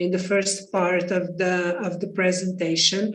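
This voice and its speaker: Someone speaks at a moderate pace with a Portuguese accent, and audible room echo is heard. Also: woman. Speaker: architect and architecture teacher. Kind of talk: panel discussion. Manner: halting.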